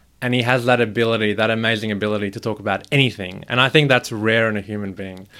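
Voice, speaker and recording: A man with an Australian accent talks very fast in a fairly low voice that has a bright, sharp tone and fairly even intonation. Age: 20s. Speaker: podcast guest. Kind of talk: casual chat.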